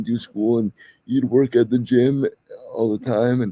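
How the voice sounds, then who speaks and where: A man's plain, everyday voice with a Canadian accent, medium in pitch, fairly even in intonation, at a moderate pace. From Canada. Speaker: podcast host. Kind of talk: interview.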